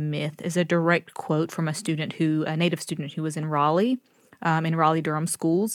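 A woman's fairly low voice with a slight Southern US accent and fairly even intonation, in a very clean recording with a silent background. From US South, North Carolina. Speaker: professor. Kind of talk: interview.

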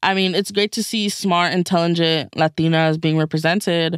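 With an unremarkable speaking voice, a woman talks at a fairly low pitch and a fairly quick pace, with fairly even intonation, in dry, close sound with no echo. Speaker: moderator of youth reporter panel, alum reporter. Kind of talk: casual panel discussion.

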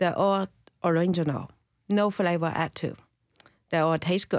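A woman's voice with a Chinese accent, ordinary pitch variation and a dry, close sound with no echo. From China. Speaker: tea shop owner. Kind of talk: casual interview. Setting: studio.

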